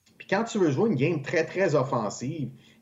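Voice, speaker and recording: A man is speaking with lively intonation. His voice is somewhat breathy. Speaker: hockey analyst. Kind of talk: casual chat.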